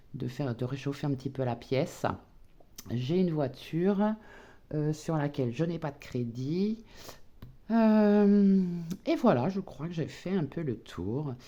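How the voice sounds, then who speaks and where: The tone is dark and mellow, at a fairly slow pace. Pitch swings very widely throughout. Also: woman. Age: 60s. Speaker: retired budgeting vlogger. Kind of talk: casual personal budget vlog. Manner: hesitant, many fillers.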